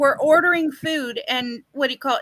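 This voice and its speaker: A woman with a Canadian accent speaks at a moderate pace in a raised, projected voice with a high pitch. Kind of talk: casual chat. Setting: live stream.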